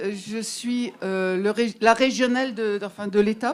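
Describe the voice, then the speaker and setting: Crowd noise fills the background as someone speaks with an Alsatian accent at a very slow pace. The pitch variation is ordinary. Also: woman. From Alsace, France. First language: Alsatian (speaking French). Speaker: literary association member. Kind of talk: public speech to audience. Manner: hesitant, many fillers.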